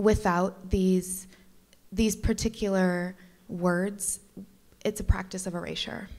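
A woman talks at a very slow pace and medium pitch, in a monotone, flat delivery. The background is quiet. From Detroit, Michigan. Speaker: curator; speaker. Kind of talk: panel talk. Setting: gallery panel with live audience. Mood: thoughtful, calm. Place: hall. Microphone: handheld.

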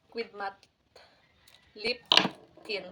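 A woman is talking. Her voice sits fairly high. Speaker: vlogger. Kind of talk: unboxing vlog. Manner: casual.

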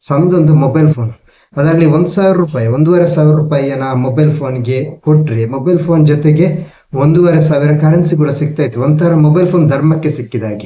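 Audible room echo surrounds a man's somewhat breathy, dark, mellow voice, fairly high in pitch with fairly even intonation. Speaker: vlogger. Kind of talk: talking-head monologue.

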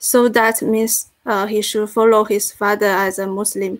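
Fairly high-pitched woman with a Chinese accent and monotone, flat intonation. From China. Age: 20s. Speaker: graduate student. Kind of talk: seminar discussion. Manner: halting.

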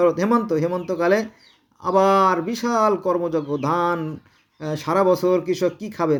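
A man speaks with typical rises and falls in pitch, recorded very cleanly against total silence. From Bangladesh, Gopalganj. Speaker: religious commentator. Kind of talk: monologue on religion. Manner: animated; halting.

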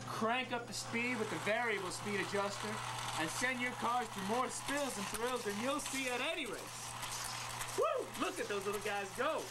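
Through loud background noise, a man talks at a moderate pace with ordinary pitch variation. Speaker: presenter. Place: shop.

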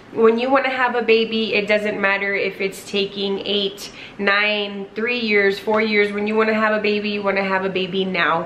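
A woman talks at a moderate pace in a monotone, flat intonation, with hardly any pauses and light background noise. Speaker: vlogger. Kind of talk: casual vlog chat. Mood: earnest, grateful. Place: home room. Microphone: camera far.

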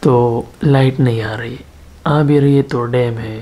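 The man talks at a fairly slow pace, his intonation fairly even. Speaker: vlogger. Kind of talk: casual vlog chat. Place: home room. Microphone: phone near.

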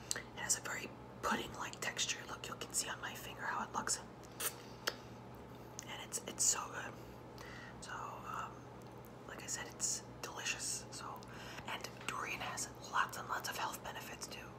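A woman talks at a moderate pace, with long, frequent pauses. Loud background noise sits behind her. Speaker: ASMR vlogger. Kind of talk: ASMR eating video, casual talk to camera. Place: home room. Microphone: phone near.

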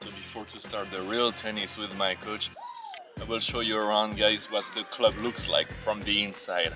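Clear music plays behind a man talking at a moderate pace. His voice sits at a fairly low pitch with monotone, flat intonation. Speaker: vlogger at tennis club. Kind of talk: casual vlog chat. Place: stadium. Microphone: phone near.

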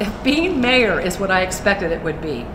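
Noticeable background noise behind a woman's fairly quick speech. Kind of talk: formal address. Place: hall.

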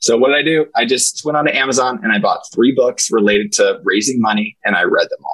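The speech comes at a very fast pace with hardly any pauses. The background is quiet. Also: man. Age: 40s. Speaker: senior living executive; podcast guest. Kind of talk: interview. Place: office. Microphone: earbuds.

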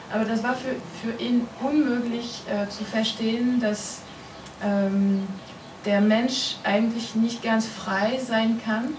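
Over noticeable background noise, a woman with a French accent speaks very slowly at a fairly high pitch, her intonation flat and monotone. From France. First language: French (speaking German). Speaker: comics writer. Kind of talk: interview at a festival talk. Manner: halting, many fillers. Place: meeting room. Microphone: camera far.

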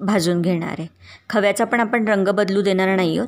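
Her intonation stays fairly even. The woman is heard against a quiet background. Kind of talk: tutorial. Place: kitchen.

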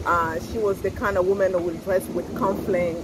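The sound is dry with no echo, and loud background noise is present. A woman talks at a fairly quick pace. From Congo, raised partly in France. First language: French. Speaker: fashion boutique owner and YouTuber. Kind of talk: casual chat. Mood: relaxed, cheerful. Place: cafe. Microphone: phone near.

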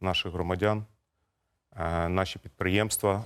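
A man speaks at a fairly quick pace in a very deep, low pitch. His intonation is monotone and flat. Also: very clean recording, silent background. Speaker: gas company executive. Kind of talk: TV interview. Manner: formal.

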